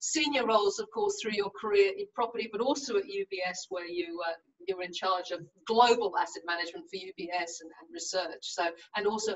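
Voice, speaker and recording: A woman with lively intonation at a fairly quick pace. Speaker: webinar moderator. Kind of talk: panel introductions. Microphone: video call.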